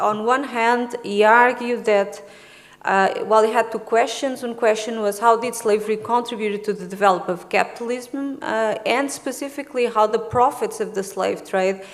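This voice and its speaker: In a room with audible echo, a woman with a Portuguese accent talks at a fairly high pitch with hardly any pauses. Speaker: historian, conference speaker. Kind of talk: academic conference presentation. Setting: conference room with audience. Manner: hesitant, with many fillers.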